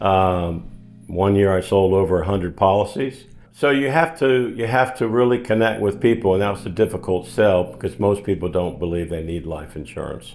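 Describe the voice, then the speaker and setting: Lively intonation marks a plain, everyday voice with an American accent. The pace is moderate. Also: man, fairly low pitch for a man. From Florida, US. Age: 60s. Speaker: realtor. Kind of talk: interview. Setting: sit-down interview.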